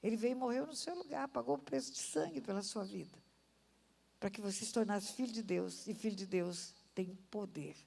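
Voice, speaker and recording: A woman speaks at a moderate pace in a medium pitch with a dark, mellow tone, vocal fry and very wide pitch swings, with audible room echo around her. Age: 70s. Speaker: pastor. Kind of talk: sermon. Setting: church. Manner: animated.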